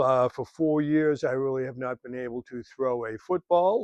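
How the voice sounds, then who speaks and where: A normal speaking voice from a man, at a moderate pace with ordinary pitch variation, in a dry, close sound with no echo. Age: 60s. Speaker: fitness instructor. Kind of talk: tutorial. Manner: casual, with frequent fillers.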